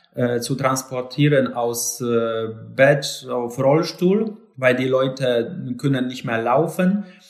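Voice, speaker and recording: A man with a Polish accent at a very slow pace. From Poland, Lower Silesia. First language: Polish (speaking German). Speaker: live-in caregiver. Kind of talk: interview. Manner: halting.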